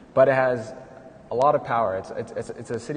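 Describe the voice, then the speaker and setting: Noticeable background noise fills the recording. A man talks at a very fast pace. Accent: American. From San Fernando Valley, California. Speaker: political candidate, accountant, housing activist. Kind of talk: panel conversation. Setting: live event in a gallery.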